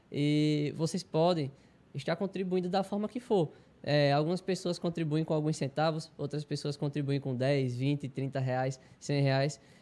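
With an unremarkable speaking voice, a man talks at a fairly slow pace, his pitch fairly high with ordinary variation. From Arapiraca, Alagoas, Brazil; Alagoas, Brazil. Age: 20s. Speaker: taekwondo athlete. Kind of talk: interview. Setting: studio. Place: studio. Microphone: handheld.

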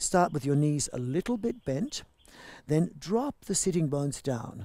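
A man's dark, mellow tone at a moderate pace, dry with no echo against a quiet background. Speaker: yoga teacher. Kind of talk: class instruction.

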